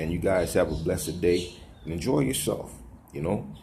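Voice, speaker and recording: A man's very deep, low voice with vocal fry and audible room echo. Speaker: religious video blogger. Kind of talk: casual vlog monologue. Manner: fast.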